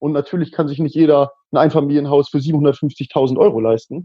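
A man with an ordinary speaking voice talks at a moderate pace, his intonation fairly even. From northern Germany, Hannover region. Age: 20s. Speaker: local party politician. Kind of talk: casual interview.

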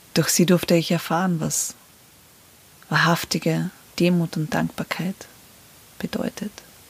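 Over noticeable background noise, a woman speaks fairly slowly at a fairly low pitch with fairly even intonation and long, frequent pauses. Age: 30s. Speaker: podcast host. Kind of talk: personal monologue.

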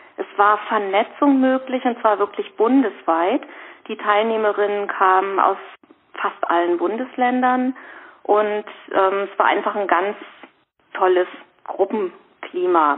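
A woman speaks very slowly, with long, frequent pauses. Her medium-pitched voice has ordinary pitch variation. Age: 50s. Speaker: rheumatism patient and course trainer. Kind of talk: casual interview. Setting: phone call. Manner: hesitant, many fillers. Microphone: reduced phone-line quality.

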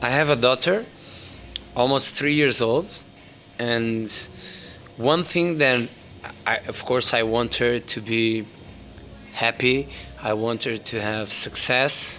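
A man with a Portuguese accent, medium pitch, ordinary pitch variation, a very slow pace and long, frequent pauses. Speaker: DJ and music entrepreneur. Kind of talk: interview.

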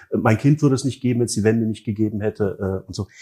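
A man's medium-pitched voice, dark and mellow, with ordinary pitch variation. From East Germany. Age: 40s. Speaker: book fair director. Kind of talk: interview. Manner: hesitant, many fillers.

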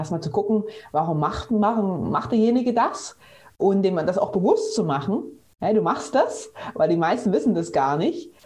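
A woman's medium-pitched, somewhat breathy voice with a dark, mellow tone, very wide pitch swings and a moderate pace. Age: 30s. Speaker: physiotherapist. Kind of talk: interview.

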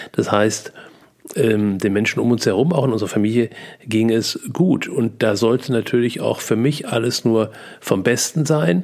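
A man's medium-pitched voice at a fairly slow pace, with ordinary pitch variation and very even loudness. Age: 60s. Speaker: podcast host and seminar coach. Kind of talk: personal monologue. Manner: hesitant, many fillers.

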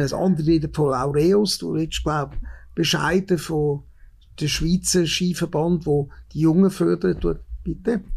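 A man with a Swiss accent, speaking at a fairly slow pace. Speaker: podcast host. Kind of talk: interview. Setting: indoor venue at a museum.

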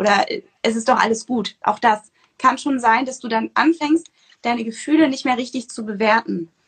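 Her high-pitched voice moves at a moderate pace with ordinary pitch variation. The woman's sound is dry and close, with no echo. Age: 20s. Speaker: nutrition coach and author. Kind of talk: interview. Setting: Instagram livestream.

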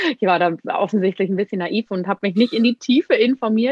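It is an ordinary speaking voice. The woman talks at medium pitch, with ordinary pitch variation. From Bavaria, Germany. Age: 30s. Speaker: Ayurveda expert. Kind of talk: interview.

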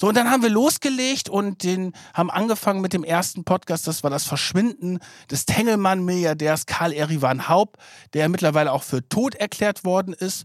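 A man with a high voice speaks at a moderate pace with lively intonation, his voice dry and close with no echo on a very clean recording with a silent background. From northern Germany, near Bremen. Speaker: investigative journalist, podcast co-host. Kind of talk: casual chat. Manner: energetic.

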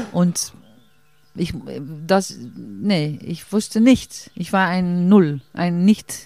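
A woman with a fairly low voice talks at a very slow pace, leaving long, frequent pauses, and her pitch varies in an ordinary way. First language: Dutch (speaking German). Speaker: stage actress. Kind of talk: casual interview. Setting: outdoors in a garden. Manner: halting.

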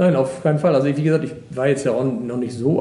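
A man talks very fast at a fairly high pitch with ordinary pitch variation. Noticeable background noise and audible room echo surround him. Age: 50s. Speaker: water police officer. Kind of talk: interview.

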